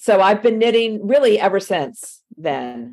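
A woman speaks at a fairly slow pace with a slight Southern US accent. Her pitch sits in the medium range. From Miami, Florida. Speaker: yarn shop owner, former university lecturer. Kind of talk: interview.

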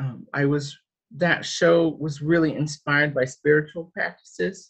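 Breathing somewhat audibly, a man speaks at a fairly slow pace with fairly high pitch and ordinary pitch variation. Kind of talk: panel discussion. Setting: video call. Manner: halting, many fillers.

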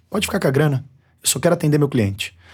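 This man talks with a São Paulo accent and very wide pitch swings. His voice is somewhat breathy. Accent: São Paulo Brazilian Portuguese. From São Paulo, Brazil. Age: 30s. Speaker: barbershop owner and brand entrepreneur. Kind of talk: interview. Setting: studio.

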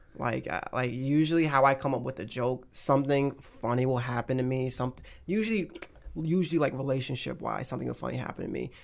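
Speaking very fast, a man at a medium pitch talks with an American accent. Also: ordinary pitch variation. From North Carolina, near Charlotte. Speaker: comedian. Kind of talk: casual chat.

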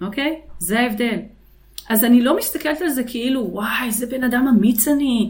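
A woman with a somewhat breathy voice talks at a moderate pace with ordinary pitch variation, and audible room echo surrounds her. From Israel. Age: 50s. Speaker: business consultant. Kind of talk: interview.

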